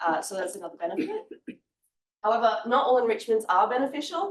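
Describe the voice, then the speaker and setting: A woman speaks with an Australian accent. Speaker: honours student presenter. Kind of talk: research presentation.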